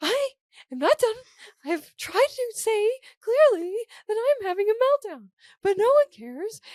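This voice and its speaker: In a squeaky, put-on character voice, the speaker moves at a moderate pace with very wide pitch swings, big swings in loudness, and long, frequent pauses. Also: woman, extremely high pitch for a woman. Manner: upset, insistent.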